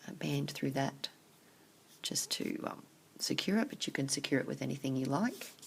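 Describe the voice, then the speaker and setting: A quiet woman at a moderate pace, with long, frequent pauses. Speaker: craft tutorial maker. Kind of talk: tutorial.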